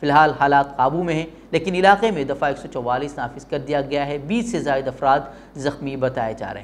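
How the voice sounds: A fairly quick pace with ordinary pitch variation. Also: man.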